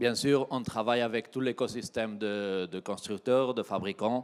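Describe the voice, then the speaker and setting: A man speaks with a Spanish accent at a fairly slow pace and with fairly even intonation. The recording is very clean, with a silent background. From Spain. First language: Spanish (speaking French). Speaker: tech company regional manager. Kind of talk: keynote presentation. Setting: trade show stage with audience.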